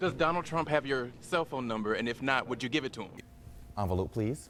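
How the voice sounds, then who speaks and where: This man has a plain, everyday voice at a medium pitch. He speaks at a fairly quick pace with ordinary pitch variation. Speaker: journalist. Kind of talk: TV news reporting.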